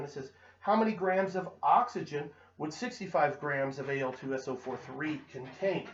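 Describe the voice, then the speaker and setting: A plain, everyday voice from a man, fairly high in pitch, with lively intonation at a moderate pace. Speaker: chemistry teacher. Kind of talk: tutorial.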